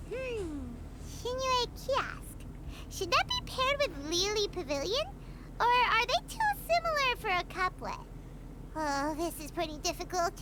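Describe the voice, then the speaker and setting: Under loud background noise, a put-on character voice with an extremely high, squeaky pitch goes at a moderate pace with long, frequent pauses. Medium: video game. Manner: excitable, chatty.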